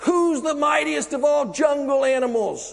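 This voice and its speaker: A man bellows in a put-on character voice. His pitch is extremely high. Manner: roaring, aggressive, demanding.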